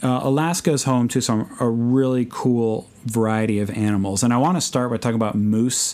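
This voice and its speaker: A medium-pitched man with an American accent, ordinary pitch variation, very even loudness, hardly any pauses and a moderate pace. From US Midwest, Chicago. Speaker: podcast host, missionary bush pilot. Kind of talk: casual solo podcast talk.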